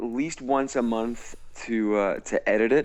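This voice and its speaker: A man with an American accent talks at a very slow pace, his medium-pitched voice keeping a fairly even intonation. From US Midwest, St. Louis, Missouri. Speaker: musical theatre actor and singer. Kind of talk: casual interview chat. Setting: Skype call. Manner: halting, many repeated words.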